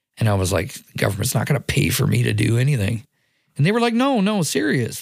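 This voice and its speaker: Over a silent background in a very clean recording, a man with vocal fry speaks at a fairly quick pace. His pitch swings very widely while his loudness stays very even. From Nova Scotia, Halifax Dartmouth area. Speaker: youth care worker. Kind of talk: interview testimony.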